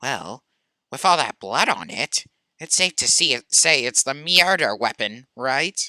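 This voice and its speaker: Delivered at a fairly slow pace, this put-on character voice sits at a low-to-middle pitch. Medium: game stream.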